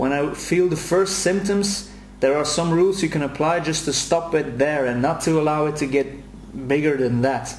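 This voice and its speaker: Amid noticeable background noise and audible room echo, a man with a European accent speaks at a moderate pace with ordinary pitch variation. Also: fairly high pitch for a man. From Belgium, Brussels. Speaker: anxiety self-help coach. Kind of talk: promotional video message. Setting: recorded at home. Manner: halting, many repetitions.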